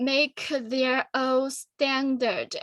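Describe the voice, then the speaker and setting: On a very clean recording with a silent background, a woman with a Chinese accent speaks at a high pitch and a very slow pace, her tone bright and sharp. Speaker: student forum presenter. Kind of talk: Q&A discussion. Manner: halting.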